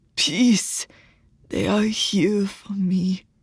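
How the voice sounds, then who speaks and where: A put-on character voice that sounds female is whispering. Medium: read story.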